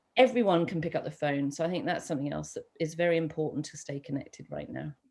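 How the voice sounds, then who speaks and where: A woman with vocal fry and a very deep, low pitch talks at a very fast pace, with big swings in loudness. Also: ordinary pitch variation. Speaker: seminar speaker. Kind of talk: online seminar Q&A. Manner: animated.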